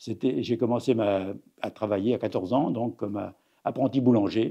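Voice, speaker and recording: A man talks at a moderate pace with ordinary pitch variation. His tone is dark and mellow. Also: medium pitch for a man. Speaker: retired cooperative executive. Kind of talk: interview. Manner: halting.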